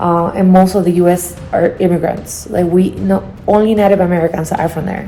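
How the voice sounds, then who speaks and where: With music in the background, a woman with a non-native accent talks at a fairly quick pace in a fairly low pitch and fairly even intonation. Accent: noticeable foreign. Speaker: travel vlogger. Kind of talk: casual vlog talk.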